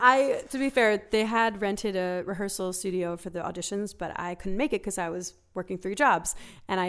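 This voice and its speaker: A woman with a plain, everyday voice speaks with ordinary pitch variation in a very clean recording with a silent background. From Philadelphia. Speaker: singer-songwriter. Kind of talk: casual chat. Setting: studio.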